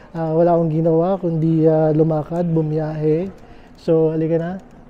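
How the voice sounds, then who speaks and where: Noticeable background noise is present. The pace stays moderate. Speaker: travel vlogger. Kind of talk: travel vlog narration. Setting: airport, late night. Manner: halting, many fillers.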